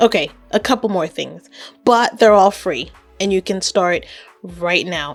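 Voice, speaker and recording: A woman at a medium pitch and a fairly slow pace, with music in the background. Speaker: YouTube creator and web designer. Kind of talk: casual talk to camera.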